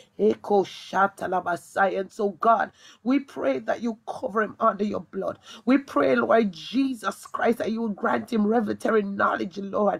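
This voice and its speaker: A woman at medium pitch, fairly slow in pace, with vocal fry. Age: young. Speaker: evangelist. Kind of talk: prayer and preaching. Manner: fervent, speaks in tongues.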